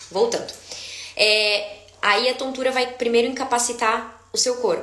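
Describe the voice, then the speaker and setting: An animated, fairly high-pitched woman's voice with audible room echo and noticeable background noise. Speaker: dizziness therapist. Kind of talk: live stream Q&A talk. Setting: live stream.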